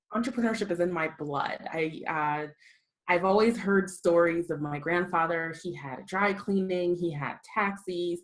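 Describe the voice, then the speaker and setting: With an American accent, a woman speaks at a moderate pace. Her pitch is fairly low, with ordinary variation. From US (raised from age six, born South Africa). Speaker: copywriting coach and entrepreneur. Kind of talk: podcast interview.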